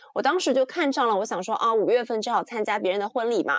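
This woman speaks at a fairly high pitch. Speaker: podcast co-host. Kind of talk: casual chat. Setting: video call. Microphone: slightly muffled audio.

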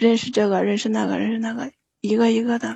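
A woman's fairly high-pitched voice with monotone, flat intonation. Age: 30s. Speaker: caller. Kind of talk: phone-in confession.

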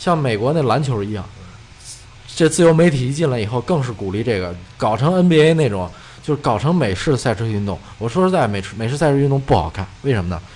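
Very wide pitch swings from a man at a medium pitch, talking at a very fast pace over noticeable background noise. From China. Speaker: motor racing enthusiast. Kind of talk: casual chat. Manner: halting, many filler sounds.

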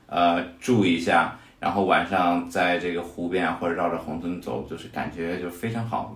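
A man's very deep, low voice with fairly even intonation and hardly any pauses, amid audible room echo and noticeable background noise. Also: moderate pace. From Hefei, Anhui, China. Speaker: fitness coach. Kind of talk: casual chat.

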